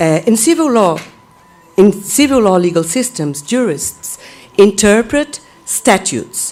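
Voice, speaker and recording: Noticeable background noise sits behind a woman with a Portuguese accent. She talks fairly slowly at a medium pitch, with very wide pitch swings. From Brazil. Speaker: law professor. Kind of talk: conference talk. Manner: halting; formal.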